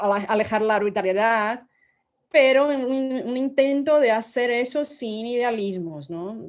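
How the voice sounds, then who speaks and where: Using ordinary pitch variation, a woman speaks in a fairly high pitch. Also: fairly slow pace. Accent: Portuguese. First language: Portuguese (speaking Spanish). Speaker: law professor, book author. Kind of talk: academic book presentation. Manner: halting, many repetitions and fillers.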